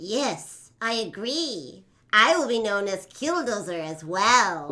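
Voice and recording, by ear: A female-sounding, cartoonish character voice sits at medium pitch. It moves at a fairly slow pace.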